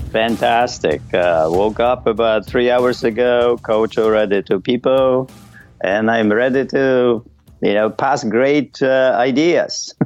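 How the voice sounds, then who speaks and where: Over music in the background, a man of medium pitch speaks at a very slow pace with very even loudness and ordinary pitch variation. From Poland. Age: 60s. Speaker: Olympic weightlifter and fitness coach. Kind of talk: interview.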